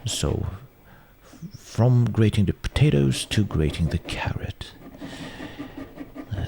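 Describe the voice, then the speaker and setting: A man's very deep, low voice at a very slow pace, with lively intonation over noticeable background noise. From Sweden. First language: Swedish. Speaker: home cook presenting cooking videos. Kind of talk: casual commentary over old cooking footage. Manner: hesitant, many fillers and restarts.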